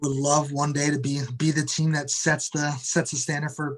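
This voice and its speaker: A man with an American accent speaks at a moderate pace in a monotone, flat intonation, with noticeable background noise behind him. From Detroit, Michigan, US Midwest. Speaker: soccer club media manager. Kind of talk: interview. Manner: halting, many repetitions and fillers.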